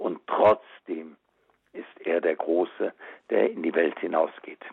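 A man speaks at a fairly slow pace. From Germany, western Münsterland. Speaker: auxiliary bishop. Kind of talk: radio interview. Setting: phone call.

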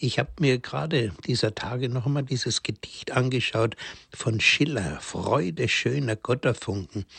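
With ordinary pitch variation, a somewhat breathy voice proceeds at a fairly slow pace. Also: man. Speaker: priest. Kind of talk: religious talk. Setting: remote line into radio studio.

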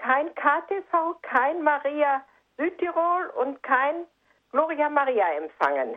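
This woman's high-pitched voice carries lively intonation. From Sauerland, Germany. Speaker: radio listener caller. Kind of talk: phone-in question. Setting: phone call.

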